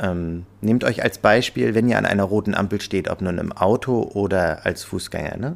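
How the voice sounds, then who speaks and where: The speaker uses an ordinary speaking voice at a moderate pace with ordinary pitch variation. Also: man. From Rostock, northern Germany. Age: 30s. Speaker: restaurant owner. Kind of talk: interview.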